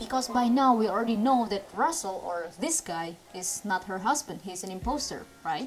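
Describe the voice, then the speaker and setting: Very wide pitch swings in an Indonesian accent, with music in the background. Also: woman. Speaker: movie reviewer. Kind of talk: movie review commentary. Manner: ranting.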